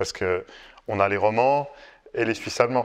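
A man speaks with ordinary pitch variation. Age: 40s. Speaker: company founder; guest. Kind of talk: casual chat. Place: home room.

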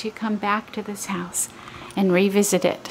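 There is light background noise. A woman speaks at a fairly slow pace. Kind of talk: walking property tour narration. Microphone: phone near.

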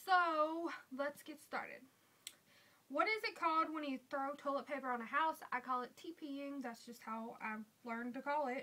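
With a strong Southern US accent, a woman projects a raised voice that is high-pitched, bright and sharp in tone, with ordinary pitch variation at a moderate pace. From US South. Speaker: beauty vlogger; vlogger. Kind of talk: casual vlog. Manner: casual, with fillers. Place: home room. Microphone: webcam.

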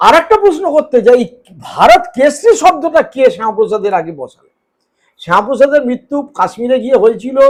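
This man speaks with ordinary pitch variation. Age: 50s. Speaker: political journalist. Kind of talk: interview. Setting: at home.

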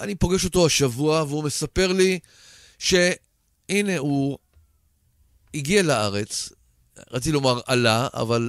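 Man speaking at a fairly slow pace with very wide pitch swings, against a quiet background. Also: dry sound with no echo. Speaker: radio show host. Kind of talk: radio interview introduction. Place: studio.

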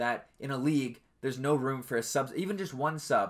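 A man's fairly high voice with ordinary pitch variation, against a quiet background. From Canada. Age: 20s. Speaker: podcast host and esports team owner; podcast host. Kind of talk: casual solo podcast talk. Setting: home webcam stream setup. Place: home room. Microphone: webcam recording, not a studio.

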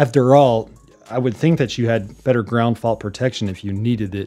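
Faint music plays behind a man speaking at a fairly quick pace with ordinary pitch variation. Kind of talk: tutorial. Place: home room.

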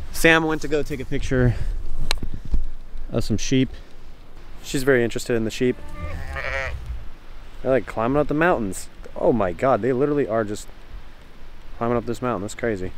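Delivered at a fairly quick pace with ordinary pitch variation, the voice sounds dry with no echo against light background noise. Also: man. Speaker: travel vlogger. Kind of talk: casual vlog chat. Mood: relaxed, impressed. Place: open country. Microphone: phone near.

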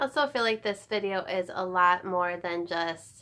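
The pitch of this woman's voice shifts in an ordinary way. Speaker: home organizing vlogger. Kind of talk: casual vlog chat. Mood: warm, reflective. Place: home room. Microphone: phone near.

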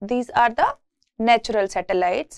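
Behind the woman's voice, the background is quiet. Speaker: university lecturer. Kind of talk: lecture.

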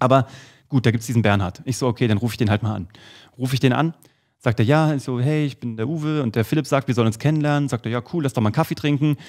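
The background is quiet. A man talks at a very fast pace with ordinary pitch variation. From Germany, Kassel (Hesse). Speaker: podcast co-host. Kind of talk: casual chat. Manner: animated. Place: studio. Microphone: studio mic.

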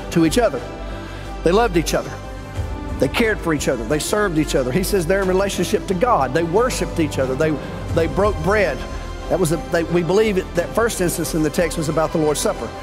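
Over clear music in the background, a man speaks at a very fast pace with a high pitch and very even loudness. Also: ordinary pitch variation. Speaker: pastor preaching. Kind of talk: sermon. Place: church. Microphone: headset.

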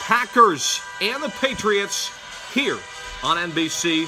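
Over clear background music, a man with a high pitch projects a raised voice with lively intonation. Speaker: amateur mimicking a sports announcer. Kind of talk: sports broadcast announcer read. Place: home room. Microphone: phone near.

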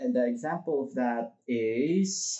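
A man's voice with ordinary pitch variation. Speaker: vlogger. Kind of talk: tutorial. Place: home room.

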